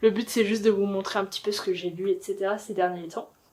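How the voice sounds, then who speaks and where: The woman speaks at a very fast pace. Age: 20s. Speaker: booktuber. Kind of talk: casual talk to camera.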